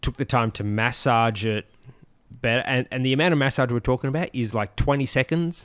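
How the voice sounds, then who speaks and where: A man with a normal speaking voice talks at a fairly quick pace and medium pitch, his pitch variation ordinary and the sound dry and close with no echo. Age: 40s. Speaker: podcast co-host, fitness enthusiast. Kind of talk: casual chat.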